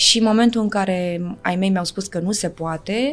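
The recording is very clean, with a silent background. A woman talks at a medium pitch with ordinary pitch variation. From Galați, eastern Romania (Moldavia). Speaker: actress. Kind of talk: casual chat. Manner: fast.

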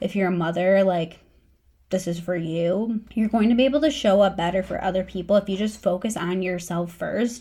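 A woman's ordinary speaking voice at a medium pitch and a fairly quick pace. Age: 30s. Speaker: podcast host, dietitian. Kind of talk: solo podcast pep talk.

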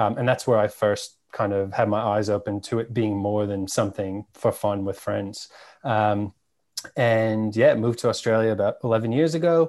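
The speaker has an American accent and a moderate pace. Pitch varies in an ordinary way against a quiet background. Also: man, fairly low pitch for a man. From New York, Staten Island. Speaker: cannabis media founder. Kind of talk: casual interview chat.

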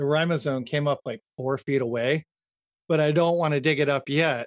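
An American accent at a moderate pace, with fairly even intonation and a dry, close sound with no echo. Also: man. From Northern California. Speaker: builder and woodworker. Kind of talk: interview.

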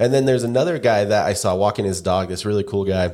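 A man's ordinary speaking voice, fairly low in pitch with ordinary pitch variation. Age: 30s. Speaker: podcast co-host, marketing agency owner. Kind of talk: casual chat.

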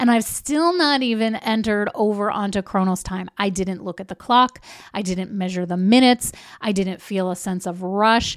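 The recording is very clean, with a silent background. A woman with an ordinary speaking voice talks at medium pitch and a moderate pace, with ordinary pitch variation. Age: 40s. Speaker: podcast host. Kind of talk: solo podcast teaching.

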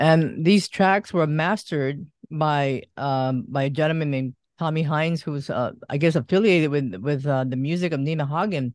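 Nothing much stirs in the background. The pace of the talking is moderate. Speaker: radio and online interview host. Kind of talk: casual interview.

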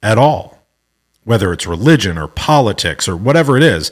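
Lively intonation marks this man's fairly low-pitched voice with an American accent. He speaks at a moderate pace. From US Midwest, Omaha, Nebraska. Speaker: podcast host. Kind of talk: solo personal monologue. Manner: casual, many filler words.

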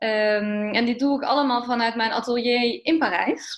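A woman speaks in a normal speaking voice, fairly high in pitch. Her pace is moderate. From eastern Netherlands. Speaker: fashion designer. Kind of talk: interview.

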